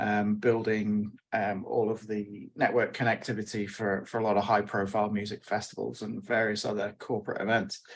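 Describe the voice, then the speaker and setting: A man with a British accent speaks at a moderate pace with hardly any pauses. His voice is fairly low and his intonation monotone and flat. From UK. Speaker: wireless network engineer. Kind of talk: panel webinar.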